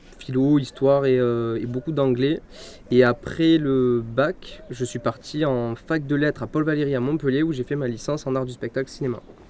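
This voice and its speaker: Noticeable background noise sits behind a man speaking at a moderate pace, his pitch medium and his intonation fairly even. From southern France, Cévennes (Gard). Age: 20s. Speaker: film student and filmmaker. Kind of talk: interview by school pupils. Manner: hesitant, many fillers.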